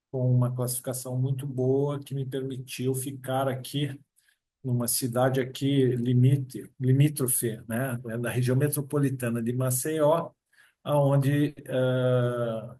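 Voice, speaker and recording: A man's medium-pitched, dark, mellow and somewhat breathy voice, very slow and monotone with flat intonation. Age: 60s. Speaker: approved public exam candidate, future notary registrar. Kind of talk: interview.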